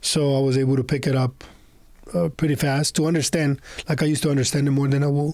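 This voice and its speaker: A man with a Spanish accent talks at a very fast pace in a monotone, flat intonation. His loudness stays very even. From Honduras. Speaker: entrepreneur. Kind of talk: podcast interview. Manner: halting, with many fillers.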